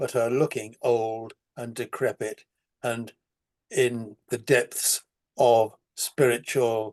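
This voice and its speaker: A man speaks at a very slow pace in a medium pitch, with long, frequent pauses. His intonation is monotone and flat, and the sound is dry and close with no echo. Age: 80s+. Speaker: spiritual rescue worker and author. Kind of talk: casual chat.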